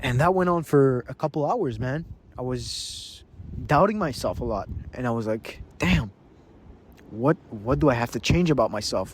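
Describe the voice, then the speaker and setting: A man is speaking at a moderate pace. His intonation is lively. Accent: Quebec. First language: French. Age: young. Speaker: vlogger and business owner. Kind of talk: casual vlog monologue. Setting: outdoors on a beach. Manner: halting, many repetitions.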